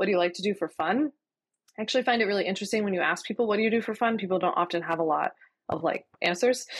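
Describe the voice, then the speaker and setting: Very fast and at a very even loudness, the speech has an American accent against a quiet background. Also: woman, medium pitch for a woman, ordinary pitch variation. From Philadelphia, US. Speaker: lawyer turned entrepreneur. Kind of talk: casual interview chat.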